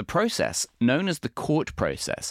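Vocal fry marks this man's voice, which makes very wide pitch swings. The sound is dry and close with no echo, on a very clean recording with a silent background. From English Midlands, Warwick. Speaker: architecture critic and podcast host. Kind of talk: casual interview and news roundup. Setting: studio.

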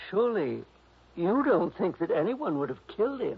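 At a moderate pace, a man performs a put-on character voice with a high pitch, big pitch swings, vocal fry and a husky, rough edge.

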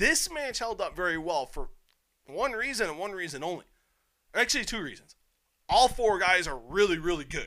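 A man's raised, projected, high-pitched voice in an animated tone, with very wide pitch swings and long, frequent pauses. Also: moderate pace. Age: 30s. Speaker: wrestling and MMA podcast host. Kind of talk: casual solo commentary podcast.

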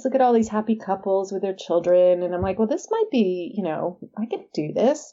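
A woman with a Californian accent speaks at a moderate pace with lively intonation. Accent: Californian American. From San Diego, California. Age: 50s. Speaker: author. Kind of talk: interview.

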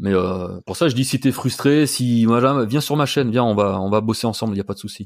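An ordinary speaking voice from a man at medium pitch, fairly quick with hardly any pauses, ordinary pitch variation, in a very clean recording with a silent background. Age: 50s. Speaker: YouTuber and cosplay performer. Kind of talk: casual interview.

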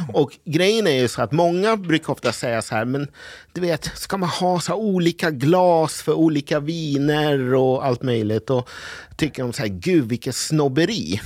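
The background is silent in this very clean recording of a man. His pitch is fairly high and he speaks at a fairly slow pace. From Sweden, partly raised in Brazil. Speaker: sommelier. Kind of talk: casual chat.

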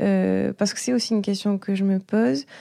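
In a very clean recording with a silent background and a dry, close sound with no echo, a woman speaks at a moderate pace in a medium pitch with a dark, mellow tone and lively intonation. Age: 20s. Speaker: airline pilot, interviewer. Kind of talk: mentoring interview conversation. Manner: hesitant, with fillers and repetitions.

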